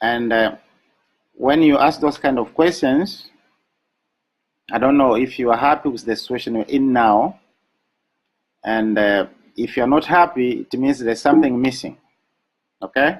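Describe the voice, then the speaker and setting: With an African accent, a man speaks at a medium pitch with ordinary pitch variation and long, frequent pauses. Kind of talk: motivational webinar talk. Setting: live online broadcast. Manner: slow.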